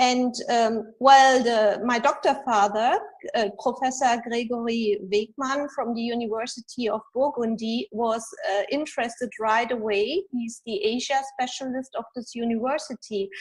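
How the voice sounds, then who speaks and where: A woman with a high voice and ordinary pitch variation talks at a fairly slow pace. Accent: German. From Germany. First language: German. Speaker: executive coach and author. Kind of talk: interview. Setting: video podcast.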